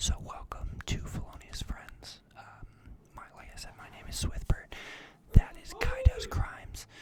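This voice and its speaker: There is noticeable background noise. Beneath it, a fairly slow whisper is heard. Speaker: podcast host. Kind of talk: casual chat. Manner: eating while talking.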